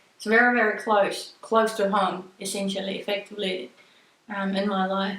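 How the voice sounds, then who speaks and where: Flat, monotone intonation from a woman, plus audible room echo. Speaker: spiritual card reader. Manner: halting.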